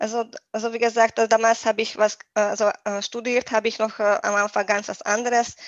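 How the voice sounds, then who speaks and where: In a Hungarian accent, a woman speaks at a moderate pace in a fairly high, flat monotone, with a dry, close sound and no echo. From Hungary. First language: Hungarian (speaking German). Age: 30s. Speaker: nutrition coach. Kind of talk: podcast interview. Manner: halting, many fillers.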